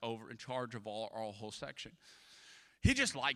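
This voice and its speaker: A man with a Louisiana accent, medium in pitch, his tone bright and sharp and animated, on a very clean recording with a silent background. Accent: Southern US, Louisiana. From US South, Louisiana (Atchafalaya Basin). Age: 30s. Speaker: pastor. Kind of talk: sermon.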